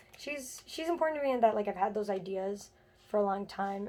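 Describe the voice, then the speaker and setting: Soft-spoken and very fast, a woman talks at a fairly high pitch with ordinary pitch variation. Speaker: doll collector vlogger. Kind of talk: casual vlog chat. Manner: quiet, soft-spoken; hesitant, many fillers.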